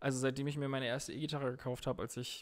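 A man is talking. Nothing can be heard behind him on this very clean recording. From northern Germany, Emsland. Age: 30s. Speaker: guitarist. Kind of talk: casual chat.

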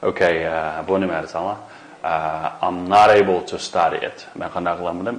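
A man with a Xinjiang accent, talking at a fairly slow pace. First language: Uyghur. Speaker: English language teacher. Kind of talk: lecture. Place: studio.

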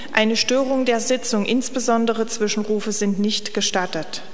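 Delivered at a medium speed, the speech shows ordinary variation in pitch. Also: woman. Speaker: council session chair. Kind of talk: formal announcement read aloud. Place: hall. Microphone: podium.

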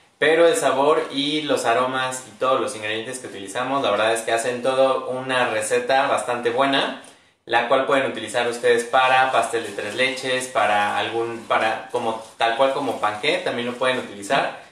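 A man talks at a moderate pace with hardly any pauses and fairly even intonation. Room echo is audible around his voice. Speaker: product demonstrator. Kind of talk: live stream presentation. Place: kitchen. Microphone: phone near.

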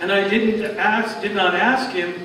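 A man with a high-pitched voice and ordinary pitch variation speaks in a room with audible echo and noticeable background noise. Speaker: preacher. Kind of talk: sermon scripture reading. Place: church. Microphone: camera far.

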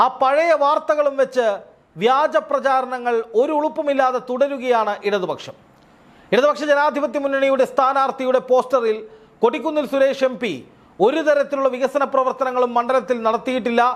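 A man with an extremely high pitch and fairly even intonation. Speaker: news commentator. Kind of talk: political commentary.

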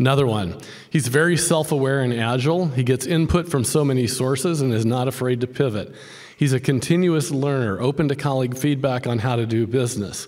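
Over a quiet background, a man with a normal speaking voice talks at a fairly quick pace and medium pitch, with ordinary pitch variation and very even loudness. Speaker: professor. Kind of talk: interview. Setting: stage with audience. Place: hall. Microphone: podium.

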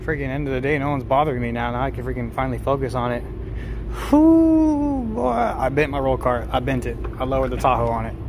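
Noticeable background noise sits behind this recording. A man talks at a very fast pace. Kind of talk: casual tutorial commentary. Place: garage. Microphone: phone near.

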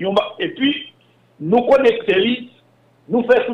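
A man speaks with a Haitian accent. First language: Haitian Creole (speaking French). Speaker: former telecom and bank executive. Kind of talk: interview.

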